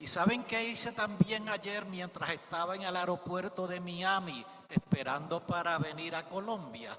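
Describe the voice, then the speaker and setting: Speech at a fairly slow pace with hardly any pauses and ordinary pitch variation comes through noticeable background noise. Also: man, high pitch for a man. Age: 70s. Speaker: preacher. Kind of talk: sermon.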